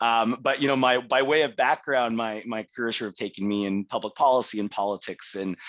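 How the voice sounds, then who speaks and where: In a Californian accent, a man at a medium pitch speaks at a fairly quick pace with hardly any pauses and fairly even intonation, in a dry, close sound with no echo. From California, US. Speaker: tech public policy professional. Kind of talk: personal introduction.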